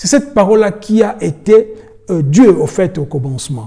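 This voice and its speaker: Pitched high for a man, his dark, mellow tone moves through very wide pitch swings at a fairly slow pace. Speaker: preacher. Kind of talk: sermon. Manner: halting.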